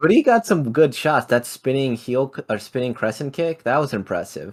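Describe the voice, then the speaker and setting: This man has a plain, everyday voice with a medium pitch. He keeps a moderate pace and uses lively intonation. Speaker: MMA podcast co-host. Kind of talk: casual chat.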